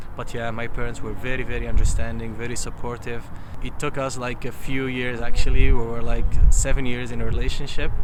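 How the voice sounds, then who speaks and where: This man speaks at a fairly quick pace. The room echo is audible, and there is noticeable background noise. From Libya (Berber). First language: Tamazight (Berber). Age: 30s. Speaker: interviewee, businessman. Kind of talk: interview. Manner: halting, many fillers and repetitions.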